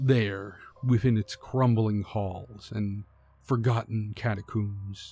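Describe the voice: Just plain reading aloud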